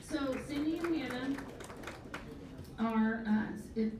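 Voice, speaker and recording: Noticeable background noise and audible room echo fill the recording. Through it, a woman's intonation stays fairly even. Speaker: event organizer. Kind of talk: ceremony speech.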